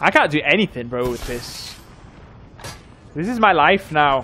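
Over light background noise, a man with a fairly high pitch speaks at a very slow pace with lively intonation. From northern England, North Yorkshire; northern England. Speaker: gaming streamer. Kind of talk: casual livestream chat. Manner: casual, rambling with fillers. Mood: joking, playful. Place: home room. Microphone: studio mic.

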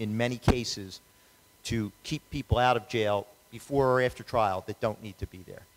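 Light background noise sits behind a man's voice. He keeps a moderate pace and fairly even intonation. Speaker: lawyer, judicial candidate; lawyer, candidate. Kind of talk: candidate forum Q&A. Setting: public event with audience, wireless microphone. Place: hall. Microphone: handheld.

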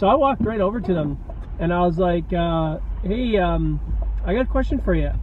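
Recorded dry with no echo, a man talks at a moderate pace against light background noise. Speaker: vlogger. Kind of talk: casual vlog chat. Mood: amused, laughing. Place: car. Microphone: phone near.

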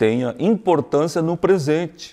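Over a quiet background, a man with a dark, mellow tone speaks with lively intonation. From Santa Maria, Rio Grande do Sul, Brazil; Rio Grande do Sul, Brazil. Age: 60s. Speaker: cultural committee coordinator; interview guest. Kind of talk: interview. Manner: halting, many repetitions. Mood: calm, reflective, explanatory. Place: hall.

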